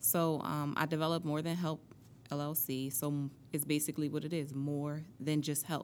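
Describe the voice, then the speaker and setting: A woman with an American accent, very deep and low in pitch, at a moderate pace with monotone, flat intonation. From US Northeast, Atlantic City, New Jersey. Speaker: motivational speaker and author. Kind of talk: interview.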